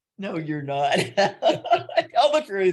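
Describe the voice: A woman talks at a very slow pace. Her medium pitch moves in big swings.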